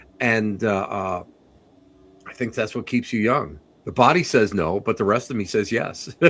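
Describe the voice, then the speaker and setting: On a very clean recording with a silent background, a man speaks with an American accent. His fairly low voice moves at a moderate pace with ordinary pitch variation. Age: 60s. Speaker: psychic medium and paranormal investigator. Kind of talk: casual interview chat. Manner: halting, repetitive.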